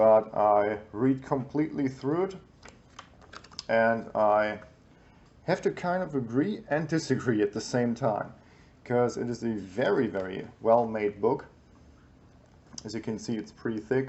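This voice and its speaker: The speaker moves at a fairly slow pace with long, frequent pauses. Pitch varies in an ordinary way. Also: man, medium pitch for a man. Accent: German. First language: German. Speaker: YouTuber reviewing survival books. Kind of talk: book review. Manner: hesitant, many fillers.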